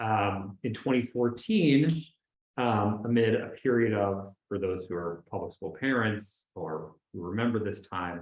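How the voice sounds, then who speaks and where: Using a normal speaking voice, a man talks at a fairly slow pace with fairly low pitch and ordinary pitch variation. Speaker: public interest lawyer. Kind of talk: panel discussion.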